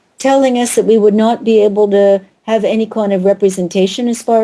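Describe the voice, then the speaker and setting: A woman with an American accent and a dark, mellow tone speaks at a moderate pace. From United States. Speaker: author and historian. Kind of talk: radio interview.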